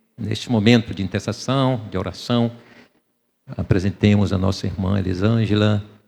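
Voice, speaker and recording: Using a dark, mellow tone, a man speaks at a fairly slow pace with fairly even intonation. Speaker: pastor. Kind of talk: sermon. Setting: church.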